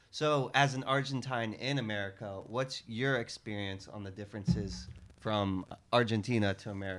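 A man in an ordinary speaking voice talks at a moderate pace, his fairly low pitch varying in an ordinary way. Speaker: podcast host. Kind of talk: casual interview.

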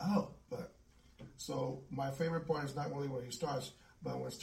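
Vocal fry runs through this man's fairly high voice, which has ordinary pitch variation. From US South. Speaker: musician. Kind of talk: casual chat.

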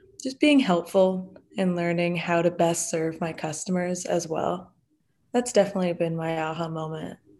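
A woman's normal speaking voice with an American accent, ordinary pitch variation and a moderate pace. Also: fairly low pitch for a woman. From Massachusetts. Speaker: entrepreneurship student and business owner. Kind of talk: interview.

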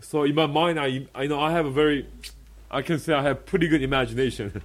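A man with a Korean accent speaks at a very fast pace in a fairly high voice with ordinary pitch variation. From South Korea. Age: 30s. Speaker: pastor. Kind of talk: sermon. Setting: church.

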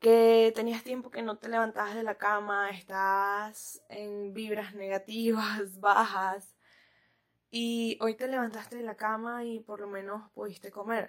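A woman speaks at a very slow pace with a fairly high pitch and flat, monotone intonation. Her loudness swings widely, in a very clean recording with a silent background. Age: 20s. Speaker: podcast host. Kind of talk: casual monologue. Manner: laughs often.

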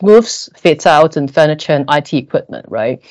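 A woman speaks at a moderate pace with a Cantonese accent. Her pitch is very deep and low. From Hong Kong. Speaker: corporate sustainability director. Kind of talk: podcast interview. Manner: hesitant, many fillers.

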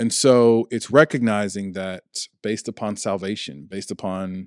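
A man speaks with an American accent in a plain, everyday voice, pitched fairly low. The sound is dry and close, with no echo. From Chicago, Illinois. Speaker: pastor. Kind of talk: casual chat.

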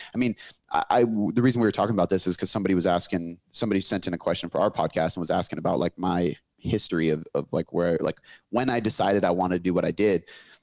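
A man talks at a very fast pace in a very deep, low pitch, his loudness very even. The recording is very clean, with a silent background. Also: ordinary pitch variation. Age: 20s. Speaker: fitness coach and business owner. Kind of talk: casual interview chat.

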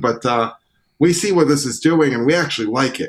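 A man with an American accent speaks in a plain, everyday voice at a moderate pace with ordinary pitch variation. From US Northeast (Syracuse, upstate New York). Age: 30s. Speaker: trumpeter and singer-songwriter. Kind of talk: casual interview chat.

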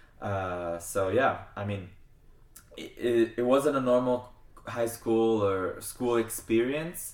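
Talking very slowly with an American accent, a man shows big swings in loudness and ordinary pitch variation. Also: medium pitch for a man. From US (California, then New Jersey), Argentinian family. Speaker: international fencer and student athlete. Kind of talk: casual interview.

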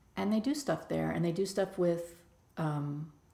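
The tone is dark and mellow. Delivery moves at a moderate pace. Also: woman. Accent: American. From Bronx, New York. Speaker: nonprofit leader. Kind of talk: interview.

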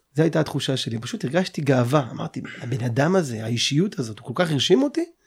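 This man's voice sits at a fairly high pitch, somewhat breathy, with lively intonation. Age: 30s. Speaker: podcast host. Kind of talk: interview.

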